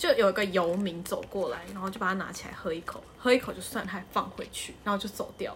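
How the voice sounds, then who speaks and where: The loudness swings widely and the pace is very fast. Noticeable background noise runs underneath. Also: woman. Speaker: podcast co-host. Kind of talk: casual chat.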